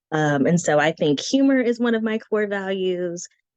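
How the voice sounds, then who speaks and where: Medium in pitch, a woman uses a normal speaking voice with lively intonation at a moderate pace. The sound is dry and close, with no echo. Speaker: branding consultant and guest teacher. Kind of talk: online presentation. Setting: live video stream. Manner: casual, with frequent fillers.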